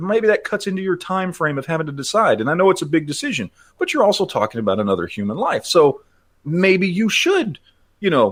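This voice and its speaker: On a very clean recording with a silent background, a man talks in a Texan accent. His pace is fairly quick. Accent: Texan American. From Texas, Dallas. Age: 40s. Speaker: gun YouTuber. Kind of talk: podcast interview. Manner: halting.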